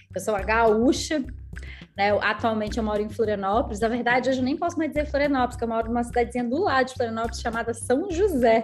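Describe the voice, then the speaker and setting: Music plays in the background as a woman speaks in an animated tone at a very fast pace. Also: fairly high pitch for a woman, ordinary pitch variation. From southern Brazil, Rio Grande do Sul (Canela/Gramado). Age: 30s. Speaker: network marketing leader. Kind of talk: casual interview chat, storytelling.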